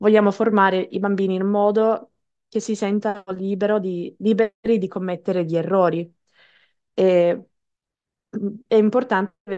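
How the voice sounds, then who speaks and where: With an English accent, a woman speaks at a fairly slow pace with fairly even intonation, her sound dry with no echo against a quiet background. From Canada. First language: English (speaking Italian). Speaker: English teacher and singer; English teacher. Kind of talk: webinar presentation. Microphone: headset.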